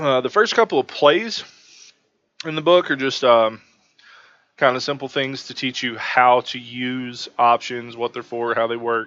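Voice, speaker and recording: At a fairly slow pace, a man speaks at a medium pitch with ordinary pitch variation and big swings in loudness. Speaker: book reviewer on investing channel. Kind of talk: casual review. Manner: hesitant with fillers.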